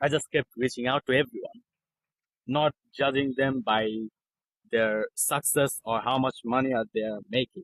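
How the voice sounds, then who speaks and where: Recorded with a dry, close sound and no echo, a man of medium pitch speaks at a moderate pace. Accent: non-native. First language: not English. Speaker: copywriter. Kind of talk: interview.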